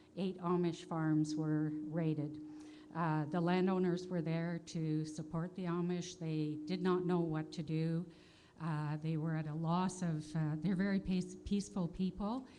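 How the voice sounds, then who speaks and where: In a Canadian accent, a woman speaks at a fairly slow pace with a dark, mellow tone and fairly even intonation, and audible room echo surrounds her. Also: fairly low pitch for a woman. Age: 60s. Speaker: audience member at conference. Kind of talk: audience question at conference. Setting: conference hall with audience. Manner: hesitant, many fillers.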